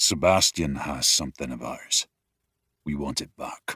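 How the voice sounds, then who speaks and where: A man puts on a character voice with a very deep, low pitch. He speaks at a moderate pace. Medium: read story. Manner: terse, gruff.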